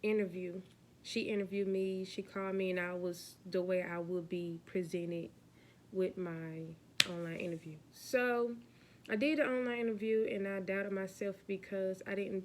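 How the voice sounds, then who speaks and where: Speaking at a moderate pace, a woman uses fairly even intonation and a medium pitch in an ordinary speaking voice. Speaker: vlogger, aspiring flight attendant. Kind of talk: casual vlog chat.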